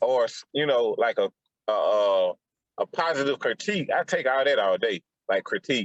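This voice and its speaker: A man with an American accent speaks at a moderate pace, keeping his loudness very even. The sound is dry and close, with no echo. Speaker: podcast host. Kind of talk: casual chat.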